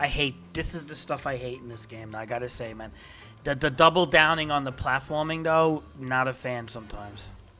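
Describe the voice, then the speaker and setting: Music plays behind a man speaking at a fairly quick pace. His pitch is medium, with ordinary variation. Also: big swings in loudness. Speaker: gaming streamer. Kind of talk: live gameplay commentary. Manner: stutter; animated.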